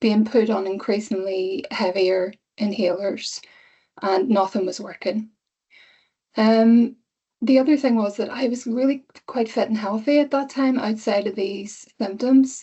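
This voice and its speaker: A woman with an Irish accent at a fairly slow pace, with ordinary pitch variation. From Ireland. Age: 50s. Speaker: cancer patient. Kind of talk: testimony.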